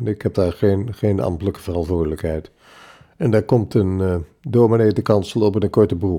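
At a moderate pace, a man speaks with a dark, mellow tone and a fairly low pitch, using ordinary pitch variation. The recording is very clean, its background silent. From Zwolle, Netherlands. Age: 80s. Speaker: retired printing executive and church elder. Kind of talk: casual interview, recounting life story. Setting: home kitchen table with microphone.

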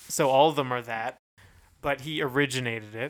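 The recording is very clean with a silent background, and the speaker has an American accent. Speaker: podcast co-host. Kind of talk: casual chat.

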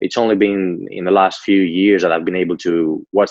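Speaking at a fairly quick pace, a man with a low pitch and slightly mellow tone shows little pitch movement.

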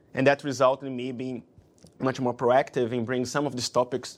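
In a very clean recording with a silent background, a man with a Portuguese accent speaks at a fairly quick pace. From Brazil. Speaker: investment banker. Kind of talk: interview. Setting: office.

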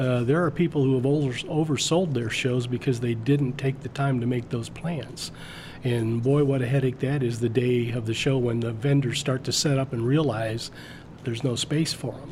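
A man keeps a moderate pace and fairly even intonation, with noticeable noise behind him. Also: medium pitch for a man. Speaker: comic club moderator. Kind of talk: casual interview chat.

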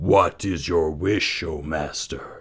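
A man uses a put-on character voice pitched very deep and low. It comes out raspy and rumbling. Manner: servile, bowing.

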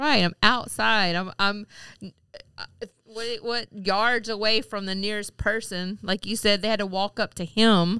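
With a Southern US accent, a woman speaks at a fairly slow pace in a medium pitch, her intonation fairly even. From Mississippi. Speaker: podcast co-host. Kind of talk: casual chat.

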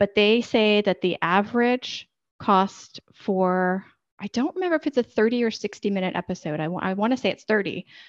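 A woman speaks in a normal speaking voice at medium pitch and a moderate pace, with ordinary pitch variation over a quiet background. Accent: American. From United States. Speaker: podcast editor and consultant. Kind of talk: interview conversation.

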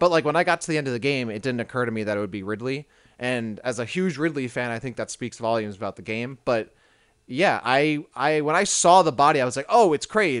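Against a quiet background, a man with an American accent talks at a very fast pace, medium pitch, and lively intonation. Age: 20s. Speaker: video game podcast co-host. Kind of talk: casual chat.

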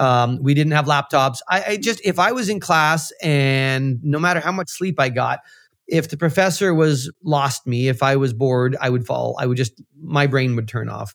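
On a very clean recording with a silent background, a man with a Canadian accent and a plain, everyday voice speaks at a moderate pace with ordinary pitch variation and hardly any pauses. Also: fairly high pitch for a man. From Central Canada (Manitoba). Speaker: financial modeling expert and educator. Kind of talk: interview.

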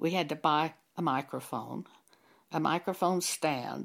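With lively intonation and vocal fry, a woman speaks at a very slow pace on a very clean recording with a silent background. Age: 80s+. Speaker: preacher. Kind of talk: sermon.

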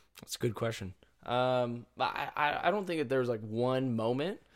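This is an unremarkable speaking voice. Its pace is moderate. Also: man. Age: 20s. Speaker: gym entrepreneur. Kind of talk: casual chat.

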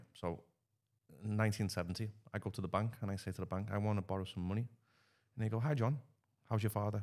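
Fairly even in intonation, the speech rushes at a very fast pace yet breaks into long, frequent pauses. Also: man, fairly low pitch for a man. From northwest England, Liverpool. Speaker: podcast guest. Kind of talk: casual chat.

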